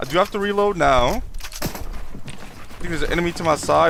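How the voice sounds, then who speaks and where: The speech moves at a fairly quick pace with noticeable background noise. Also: man. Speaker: gaming streamer. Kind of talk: live gameplay commentary. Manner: halting, many fillers and repeats.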